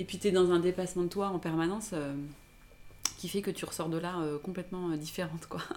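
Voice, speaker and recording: A woman talks at a fairly quick pace with monotone, flat intonation. Noticeable background noise runs behind her. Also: fairly low pitch for a woman. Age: 30s. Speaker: blogger. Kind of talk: casual chat.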